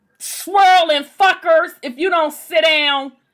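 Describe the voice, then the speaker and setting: A woman with a Southern US accent uses a raised, projected voice at an extremely high pitch, with ordinary pitch variation. Her tone is animated, bright and sharp. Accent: Southern US, kept. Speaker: online discussion group host. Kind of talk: casual chat.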